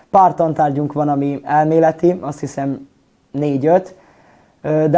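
The voice has a dark, mellow tone. Its intonation stays fairly even. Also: man. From Vojvodina, Serbia (Temerin). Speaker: acting student. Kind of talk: interview.

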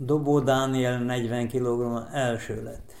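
Monotone and flat, a man with a medium pitch speaks at a very slow pace. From Vojvodina, Serbia. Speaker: sports event organizer. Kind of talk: interview.

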